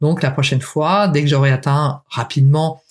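This woman's pitch is very deep and low for a woman, and her voice is somewhat breathy. She talks at a moderate pace. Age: 50s. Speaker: podcast host, weight-loss coach. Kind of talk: solo podcast monologue. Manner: hesitant, many fillers.

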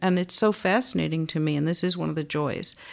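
A woman speaks at a fairly quick pace in a fairly low pitch, a plain, everyday voice. The recording is very clean, with a silent background. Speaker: philosophy professor. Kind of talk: moderated interview discussion.

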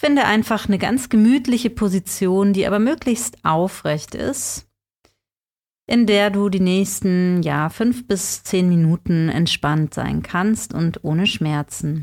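At a very slow pace, a woman speaks at a medium pitch in a gentle, calm tone, with lively intonation and very even loudness, in a very clean recording with a silent background. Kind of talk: guided meditation. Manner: soft-spoken, slow and soothing; gentle, calm, unhurried with long pauses.

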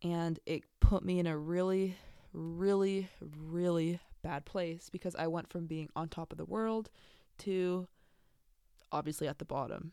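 With an American accent, a woman of fairly low pitch and a dark, mellow tone speaks at a fairly slow pace with fairly even intonation on a very clean recording with a silent background. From San Diego, California. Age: 20s. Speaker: podcaster and college student. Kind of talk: casual solo podcast monologue. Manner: halting, many fillers.

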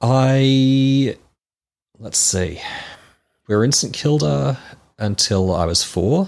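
With an Australian accent, a man talks using lively intonation. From Melbourne, Australia. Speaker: church member. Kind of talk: interview.

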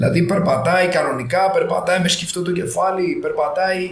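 Noticeable background noise and audible room echo surround the recording. A man with a high pitch speaks at a fairly slow pace. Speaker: physiotherapist. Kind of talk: casual interview. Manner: animated.

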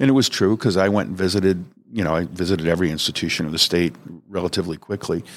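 Very fast and very deep, a man with an American accent talks with ordinary pitch variation. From Connecticut. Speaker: former corrections official and author. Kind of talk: interview.

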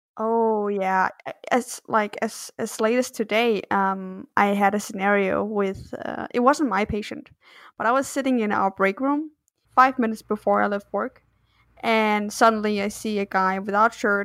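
A woman with a normal speaking voice talks at a fairly slow pace with a fairly high pitch and fairly even intonation. The recording is very clean, with a silent background. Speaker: storyteller and nurse. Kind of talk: casual interview.

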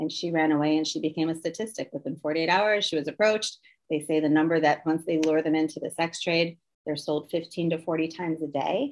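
Talking at a fairly quick pace, a woman has an ordinary speaking voice and fairly even intonation. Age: 50s. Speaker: anti-trafficking ministry leader. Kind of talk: casual chat.

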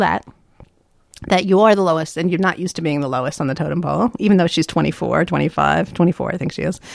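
Speaking very fast with a fairly low pitch, a woman with an American accent uses lively intonation and vocal fry. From New York, US East Coast. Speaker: business consultant and author. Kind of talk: casual interview.

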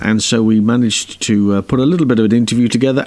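A man is speaking here. His accent is British. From UK. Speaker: podcast host interviewing stunt performers. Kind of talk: interview.

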